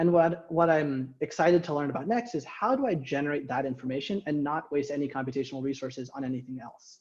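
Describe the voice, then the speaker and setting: There is ordinary variation in the pitch. The delivery is somewhat breathy. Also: man. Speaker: robotics researcher. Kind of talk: lecture. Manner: fast.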